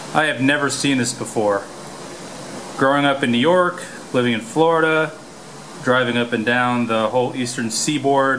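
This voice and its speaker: A man talks at a moderate pace with fairly even intonation and long, frequent pauses, over light background noise. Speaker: radio hobbyist. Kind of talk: casual vlog chat. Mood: amazed, quiet. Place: boat. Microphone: phone near.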